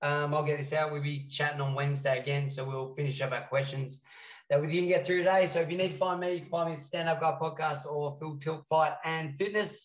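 Somewhat breathy, a man with an Australian accent talks at a fairly quick pace, his fairly high pitch held to fairly even intonation. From Western Australia. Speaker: fight coach and podcast co-host. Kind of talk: casual chat.

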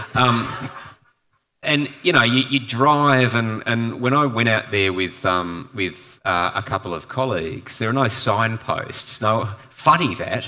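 A man with an Australian accent, a bright, sharp tone, medium pitch and ordinary pitch variation at a fairly slow pace, on a very clean recording with a silent background. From Perth, Western Australia. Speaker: environmental campaign leader and author. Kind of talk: panel discussion. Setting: live event with audience. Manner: hesitant, many fillers and repetitions.

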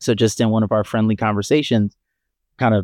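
A plain, everyday voice from a man at a medium pitch, speaking at a fairly quick pace. The sound is dry and close with no echo, over a quiet background. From Maryland, US. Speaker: startup founder. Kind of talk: casual interview.

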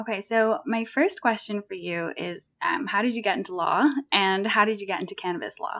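At a fairly quick pace, a woman speaks with a medium pitch and ordinary pitch variation. Her tone is fairly bright, with vocal fry.

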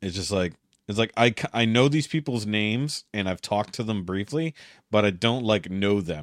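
A normal speaking voice moves at a fairly quick pace with lively intonation. The sound is dry and close with no echo, in a very clean recording with a silent background. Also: man. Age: 40s. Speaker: podcast host. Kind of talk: casual chat.

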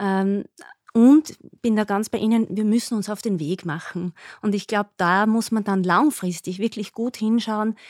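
A woman with a plain, everyday voice, medium pitch, ordinary pitch variation and a fairly slow pace, in a dry, close sound with no echo and a very clean recording with a silent background. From Upper Austria. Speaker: nurse and diabetes educator. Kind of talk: podcast interview.

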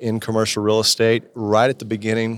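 Speaking with an American accent, a man talks at a fairly low pitch and a fairly quick pace. The recording is very clean, with a silent background. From southeastern Kentucky, Appalachian foothills. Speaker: commercial real estate business owner. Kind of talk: casual interview. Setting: back room of a brewery.

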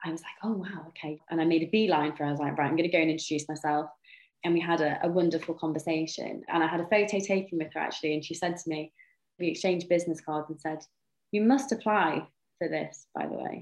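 Very fast speech comes from a woman with a Welsh accent. Her pitch is fairly low and her intonation fairly even. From North Wales. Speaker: sport shooter. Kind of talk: interview.

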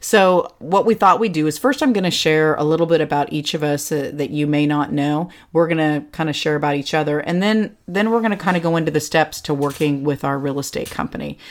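Someone with an American accent talks at a fairly quick pace with hardly any pauses and ordinary pitch variation. The recording is very clean, with a silent background. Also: woman, very deep, low pitch for a woman. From California. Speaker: podcast host and real estate agent. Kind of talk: casual chat. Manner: animated.

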